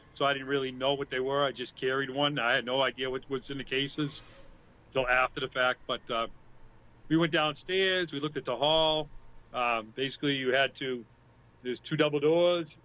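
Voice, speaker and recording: Speaking with a Boston accent, a man talks at a moderate pace and a fairly high pitch. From Boston area, US. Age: 50s. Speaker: music fan and event volunteer. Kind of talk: casual chat. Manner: animated.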